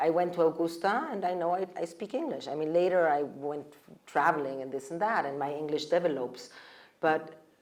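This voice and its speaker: Delivered at a fairly quick pace in a German accent, the speech has ordinary pitch variation. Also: woman, fairly low pitch for a woman. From Mexico. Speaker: panelist. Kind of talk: panel discussion.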